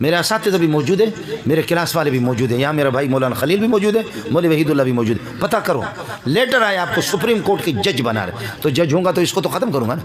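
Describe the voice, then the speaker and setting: A fairly high-pitched man speaks at a moderate pace with very wide pitch swings. There is audible room echo and noticeable background noise. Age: 50s. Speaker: Islamic cleric. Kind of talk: religious speech. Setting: gathering with audience. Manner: impassioned.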